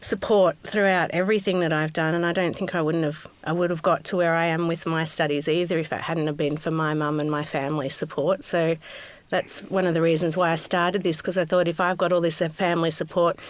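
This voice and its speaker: A woman's fairly low voice in an Australian accent, fairly quick, with monotone, flat intonation. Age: 30s. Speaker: podcast host. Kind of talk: podcast interview.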